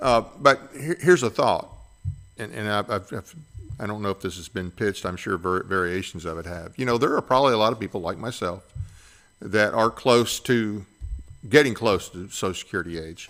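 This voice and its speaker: In an ordinary speaking voice, a man talks at a fairly quick pace with a fairly low pitch and big swings in loudness. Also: lively intonation. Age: 60s. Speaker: podcast host, veteran. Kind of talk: interview.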